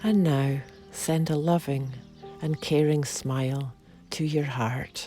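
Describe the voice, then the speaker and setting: A woman's very deep, low voice, soothing and calm in tone, with ordinary pitch variation, a very slow pace and long, frequent pauses over music in the background. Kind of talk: guided meditation. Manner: slow, soothing, calm.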